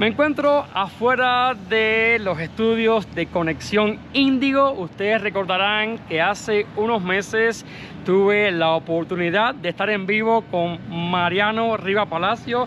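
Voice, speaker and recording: A man's high voice at a very slow pace with hardly any pauses, over light background noise. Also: ordinary pitch variation. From Cuba. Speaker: YouTuber. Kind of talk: vlog narration. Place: street. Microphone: phone near.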